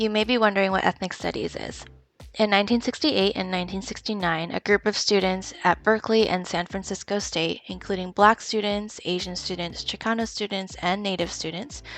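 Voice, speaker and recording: Over noticeable background noise, a woman with an American accent speaks at a fairly quick pace with a medium pitch and fairly even intonation. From Philadelphia, US. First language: Taiwanese. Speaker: history teacher. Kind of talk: scripted presentation.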